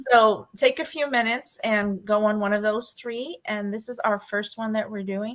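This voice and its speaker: A woman with a New York accent talks at a fairly high pitch. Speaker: fan podcast host. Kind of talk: casual chat.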